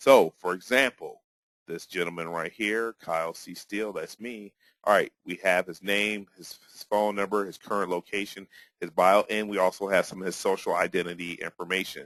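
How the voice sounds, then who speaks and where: Speaking at a moderate pace, the voice sounds dry and close, with no echo at all. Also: man, fairly low pitch for a man, big swings in loudness. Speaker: software company co-founder. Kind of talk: product demo tutorial. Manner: casual, animated.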